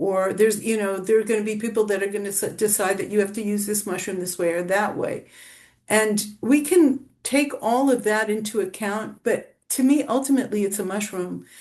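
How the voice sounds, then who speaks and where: Ordinary pitch variation and a moderate tempo shape an unremarkable speaking voice. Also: woman. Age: 60s. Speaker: author. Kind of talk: interview.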